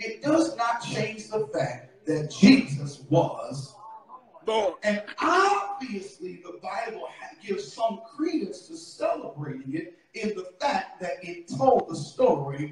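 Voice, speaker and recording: The pace is very slow, with very wide pitch swings. Audible room echo and light background noise surround the voice. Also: man. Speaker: preacher. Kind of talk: sermon. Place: church. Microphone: camera far.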